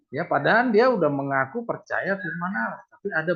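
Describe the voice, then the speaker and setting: At a moderate pace, a man talks in a high pitch with lively intonation. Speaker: Bible study teacher. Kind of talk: Bible study lesson over Zoom. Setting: video call.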